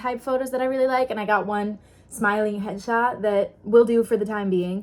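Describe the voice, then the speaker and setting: Over noticeable background noise, a woman with a fairly high voice and an American accent speaks fairly quickly in an animated tone. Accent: American accent, can switch to English. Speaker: actor and vlogger. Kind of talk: casual vlog.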